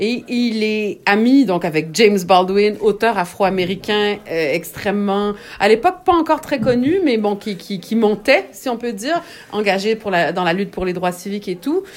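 A woman's medium-pitched voice with lively intonation. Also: moderate pace. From Quebec. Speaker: writer. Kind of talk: interview. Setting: at home.

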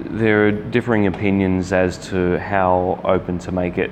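A man with an Australian accent has a very deep, low pitch and a monotone, flat delivery. Noticeable background noise can be heard. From Sydney, Australia. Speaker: podcast host. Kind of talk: casual interview.

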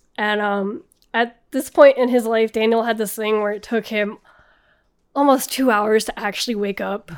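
A woman's normal speaking voice, fairly high in pitch with fairly even intonation, at a moderate pace on a very clean recording with a silent background. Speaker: guest storyteller. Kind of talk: casual storytelling.

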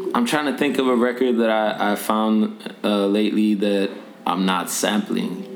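A man speaks at a moderate pace with a fairly low pitch, fairly even intonation and very even loudness. Noticeable background noise and audible room echo fill the recording. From Norway. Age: 20s. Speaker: rapper. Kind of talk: casual interview.

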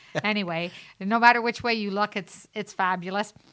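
A woman with an unremarkable speaking voice talks at a fairly quick pace with fairly even intonation. The recording is very clean, with a silent background. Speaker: real estate team member. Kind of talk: casual radio chat. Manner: playful, teasing.

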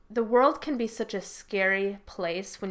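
A woman talks in a plain, everyday voice at medium pitch with fairly even intonation. The recording is very clean, with a silent background. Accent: American. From US Midwest, Rockford. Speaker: Marine veteran and business owner. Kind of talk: casual interview.

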